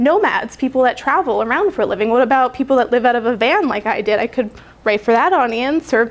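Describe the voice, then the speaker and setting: A woman speaks at a very fast pace. Her pitch is high. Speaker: conference speaker on marketing. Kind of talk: conference presentation.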